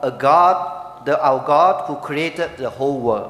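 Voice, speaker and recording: A man with a Chinese accent, noticeable background noise and audible room echo. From Malaysia. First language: Mandarin Chinese (speaking Vietnamese). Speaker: preacher. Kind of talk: sermon with interpreter. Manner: short phrases paused for interpreter.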